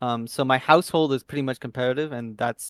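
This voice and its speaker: Fairly even intonation runs through this man's medium-pitched voice. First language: not English. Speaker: competitive tabletop wargame player. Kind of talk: interview.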